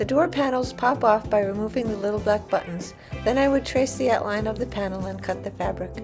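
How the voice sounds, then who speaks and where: A fairly quick voice with an American accent, music in the background. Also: woman. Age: 60s. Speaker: van life traveler. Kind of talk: casual DIY van build narration.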